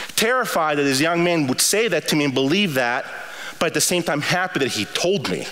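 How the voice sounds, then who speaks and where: At a fairly quick pace, a man with a fairly high voice speaks with lively intonation and very even loudness. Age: 50s. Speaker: university president; university president preaching. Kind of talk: sermon. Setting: chapel service with audience. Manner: impassioned. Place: hall.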